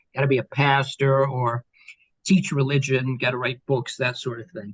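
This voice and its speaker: An American accent, somewhat breathy, at a moderate pace, with a dry, close sound and no echo. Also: man, medium pitch for a man, fairly even intonation, big swings in loudness. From Kansas. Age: 60s. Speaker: professor. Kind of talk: interview.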